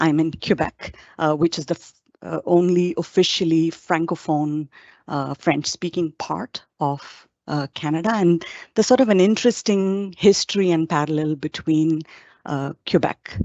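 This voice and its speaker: A woman's fairly low voice with an Indian accent, ordinary pitch variation and a moderate pace. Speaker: psychologist and professor. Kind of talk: webinar presentation. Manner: hesitant with frequent fillers.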